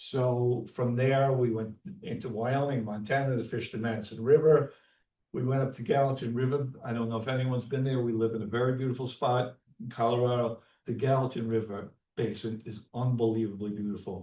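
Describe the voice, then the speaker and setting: A man speaks with a New York accent at a medium pitch. His pace is fairly quick and his intonation fairly even. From New York, Long Island. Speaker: landscape photographer and fly fisherman presenting to a club. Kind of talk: club presentation talk. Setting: community center meeting room, also on Zoom. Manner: fast; halting, many fillers.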